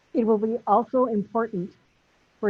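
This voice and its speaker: Female speaker at a moderate pace. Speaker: nursing school dean. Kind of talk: ceremony speech. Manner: loud.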